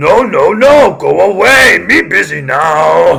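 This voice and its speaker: This man puts on a character voice and delivers it at a fairly slow pace. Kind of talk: broken, simple speech. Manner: gruff, dismissive.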